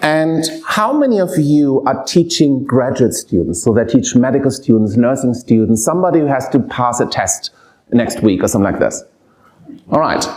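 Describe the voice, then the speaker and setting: Speaking at a moderate pace with a German accent, the voice carries lively intonation. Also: man, medium pitch for a man. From Germany. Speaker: professor of pediatric palliative care. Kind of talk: lecture. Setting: lecture hall with audience.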